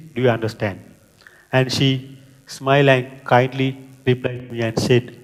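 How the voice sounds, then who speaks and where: Speaking at a moderate pace in a monotone, flat way, a man has a Sri Lankan accent. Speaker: project manager and scrum master. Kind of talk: conference talk.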